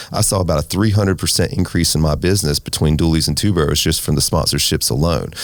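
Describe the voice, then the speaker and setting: A man with an American accent talks at a very deep, low pitch with fairly even intonation. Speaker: restaurant owner and race team owner. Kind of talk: interview. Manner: fast.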